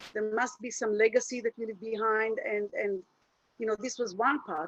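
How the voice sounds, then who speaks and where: This woman has a fairly high voice and an Israeli accent. Her intonation stays fairly even at a moderate pace. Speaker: happiness coach. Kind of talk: webinar presentation. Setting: video call. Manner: halting.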